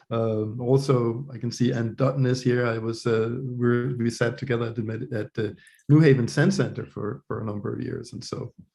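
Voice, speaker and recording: Somewhat breathy, a man with a Danish accent speaks at a moderate pace. His tone is dark and mellow, with fairly even intonation. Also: medium pitch for a man, hardly any pauses. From Denmark. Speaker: professor of religious studies. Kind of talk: interview conversation. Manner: hesitant, many fillers and repetitions.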